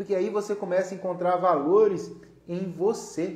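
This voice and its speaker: A loud, animated man with a high pitch at a fairly slow pace, noticeable background noise behind him. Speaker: live-stream host, therapist-style educator. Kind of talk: solo live stream talk. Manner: loud, gets louder as he warms up.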